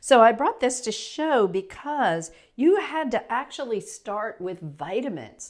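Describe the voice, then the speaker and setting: A woman talks at a fairly slow pace with a fairly high pitch and very wide pitch swings. The recording is very clean, with a silent background. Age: 60s. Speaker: natural health practitioner. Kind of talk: casual explainer talk to camera. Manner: conversational, with fillers and restarts.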